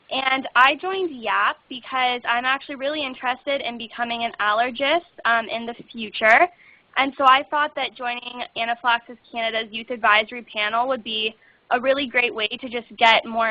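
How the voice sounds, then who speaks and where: A woman with a high pitch and ordinary pitch variation keeps a moderate pace. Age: 20s. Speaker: university student, panelist. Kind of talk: webinar panel talk.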